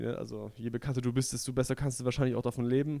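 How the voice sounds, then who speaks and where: In an unremarkable speaking voice, a man talks at a medium pitch with fairly even intonation. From southwestern Germany (Stuttgart area). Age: young. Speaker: comedian and magician. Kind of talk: casual interview chat.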